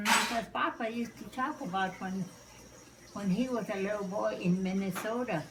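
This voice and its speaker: Noticeable background noise sits behind a woman speaking at a moderate pace and medium pitch with ordinary pitch variation. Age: 80s+. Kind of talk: interview answer.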